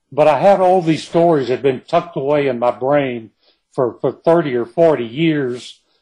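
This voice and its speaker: With a dark, mellow tone, a man's voice sits fairly high in pitch. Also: ordinary pitch variation. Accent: East Texas. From East Texas, Kilgore. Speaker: novelist. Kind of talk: interview.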